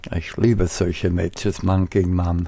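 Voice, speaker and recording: A man's somewhat breathy voice at a very slow pace. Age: 70s. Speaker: gamer. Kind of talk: gameplay commentary.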